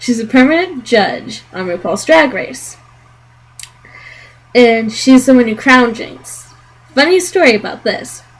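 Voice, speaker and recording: Amid noticeable background noise, a high-pitched woman talks at a fairly slow pace with long, frequent pauses, very wide pitch swings and big swings in loudness. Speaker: video reviewer. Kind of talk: casual talk to camera.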